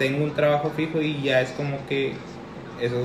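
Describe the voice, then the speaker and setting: With noticeable background noise and audible room echo, a man speaks at a moderate pace in a fairly high pitch with monotone, flat intonation. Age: 20s. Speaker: podcast co-host. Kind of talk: casual chat.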